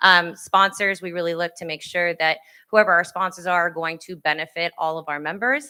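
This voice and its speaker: On a very clean recording with a silent background, a woman speaks at a fairly quick pace and fairly low pitch, her intonation fairly even and her loudness swinging widely. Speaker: parks and recreation manager. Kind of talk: conference presentation. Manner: fast.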